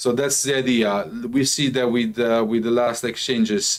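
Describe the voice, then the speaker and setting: Music plays behind a man with a medium-pitched voice. He speaks at a fairly slow pace with a non-native accent. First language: not English. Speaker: crypto company executive presenting updates. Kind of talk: live company update presentation. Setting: livestream with chat. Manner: halting, many fillers.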